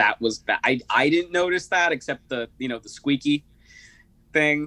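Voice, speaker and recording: A man's fairly high-pitched voice with a bright, sharp tone and big swings in loudness, dry and close with no echo. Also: ordinary pitch variation, moderate pace. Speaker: interview guest sharing personal story. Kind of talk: casual interview.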